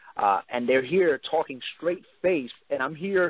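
A man speaks with a New York accent and ordinary pitch variation. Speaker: MMA interviewer. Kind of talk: interview. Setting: phone call.

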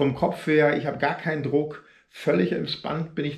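A man's somewhat breathy voice comes through with a quiet background. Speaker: runner vlogger. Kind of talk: casual vlog chat. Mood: frustrated but grateful. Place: home room. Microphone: phone near.

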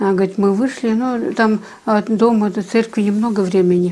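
A woman talks at a fairly quick pace. Her tone is dark and mellow.

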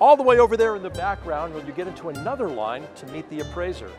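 A man's voice, dry with no echo, against clear background music. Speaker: TV show host. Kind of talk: presenter commentary. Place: hall. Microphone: lapel.

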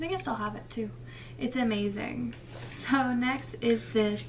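A woman at a moderate pace amid noticeable background noise. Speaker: beauty vlogger. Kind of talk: casual vlog chat. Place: home room. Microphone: webcam.

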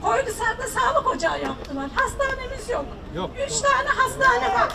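A woman with an extremely high voice speaks in a raised, projected way over crowd noise in the background. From Turkey. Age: 60s. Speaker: farmer and retiree, citizen. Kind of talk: public complaint to a politician; public complaint to politician. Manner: emotional, pleading. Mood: earnest, pleading. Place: street.

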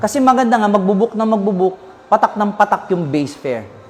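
Noticeable background noise accompanies a fairly quick pace of speech. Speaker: lawyer. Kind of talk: legal explanation in interview.

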